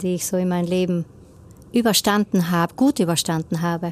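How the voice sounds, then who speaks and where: The recording is very clean, with a silent background. A woman with a medium-pitched voice talks at a fairly quick pace with ordinary pitch variation. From South Tyrol, Rodeneck. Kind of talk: radio interview. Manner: hesitant, many fillers.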